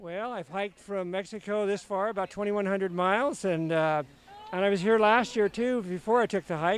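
A man's high voice with an American accent, at a moderate pace and with ordinary pitch variation. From Northern California. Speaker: thru-hiker. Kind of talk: casual interview. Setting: outdoors at a hiking festival.

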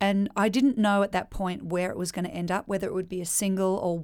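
With an Australian accent, a woman talks at a fairly quick pace and medium pitch on a very clean recording with a silent background. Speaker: country singer. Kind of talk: casual interview.

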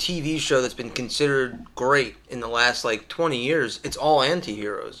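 A man with a fairly high pitch speaks at a moderate pace with ordinary pitch variation and hardly any pauses, over noticeable background noise. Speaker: guest film discussant. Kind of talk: casual chat.

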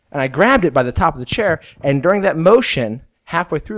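A man speaks in a plain, everyday voice with an American accent, moving at a fairly quick pace with lively intonation. The sound is dry and close with no echo, over a quiet background. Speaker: podcast co-host. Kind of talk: casual comedic chat.

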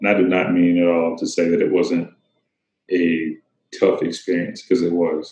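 Moderate-paced speech from a man with an American accent, very even in loudness, with long, frequent pauses. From US South. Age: 30s. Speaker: photographer. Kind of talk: casual chat.

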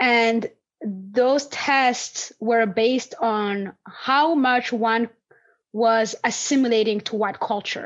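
A woman speaks very slowly in a fairly high pitch. Her intonation stays fairly even. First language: non-English native language. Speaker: podcast host and landscape designer. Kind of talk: interview conversation.

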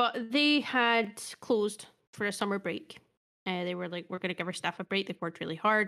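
A woman with a Scottish accent, medium in pitch, bright and sharp in tone, at a fairly quick pace. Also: ordinary pitch variation. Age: 30s. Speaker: podcast co-host. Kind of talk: casual chat. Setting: remote call over the internet.

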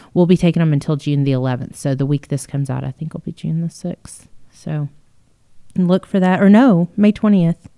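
With a Texan accent, a woman with a fairly low voice and a dark, mellow tone speaks at a fairly quick pace with ordinary pitch variation, the sound dry and close with no echo. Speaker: museum podcast host. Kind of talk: casual chat.

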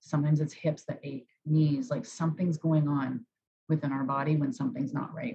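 Her voice very deep and low, a woman speaks somewhat breathily at a fairly quick pace. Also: lively intonation. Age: 40s. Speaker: life coach. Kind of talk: casual interview chat.

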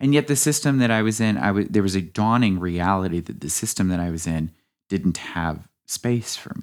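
Here a man with an American accent uses a normal speaking voice, fairly low in pitch, with lively intonation at a moderate pace. The recording is very clean, with a silent background. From US South and Midwest. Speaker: painter and hairstyling student. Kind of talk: casual chat.

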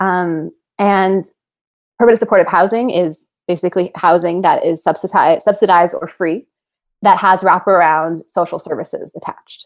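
In an unremarkable speaking voice with an American accent, a woman speaks at a moderate pace with medium pitch and fairly even intonation. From Los Angeles and Oaxaca, Mexico. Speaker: architect and architecture professor. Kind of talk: interview conversation.

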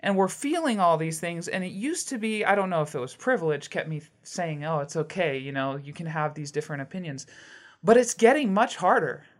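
A woman with a fairly low voice speaks at a fairly quick pace, with lively intonation and big swings in loudness, a plain, everyday voice. The recording is very clean, with a silent background. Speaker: podcast host. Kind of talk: casual interview.

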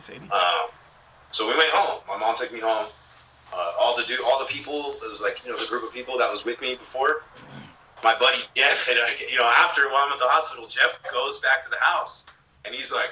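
A man talks at a fairly quick pace with an American accent. Noticeable background noise runs underneath. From California, Long Beach. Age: 20s. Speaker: filmmaker and podcaster. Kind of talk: casual storytelling chat.

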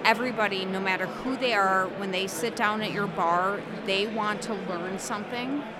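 Speaking at a moderate pace with an American accent, a woman keeps her intonation fairly even while audible room echo and noticeable background noise fill the recording. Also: medium pitch for a woman. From Wisconsin. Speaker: whiskey brand representative. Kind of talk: casual chat. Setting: live at a whiskey festival.

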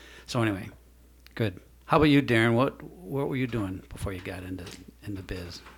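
The voice is somewhat breathy, with ordinary pitch variation at a fairly quick pace. Long pauses come often. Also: man, fairly low pitch for a man. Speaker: podcast host. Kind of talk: casual interview.

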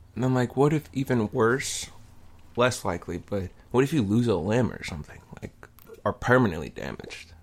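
A man at a moderate pace, with big swings in loudness and noticeable background noise. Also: medium pitch for a man, lively intonation. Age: 20s. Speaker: podcast co-host. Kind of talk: casual chat. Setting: studio.

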